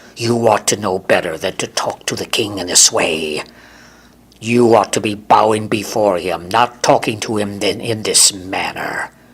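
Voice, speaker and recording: In a put-on character voice, a man growls and hisses at a moderate pace. His pitch is fairly low. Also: fairly even intonation. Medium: read story. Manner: oily, sly.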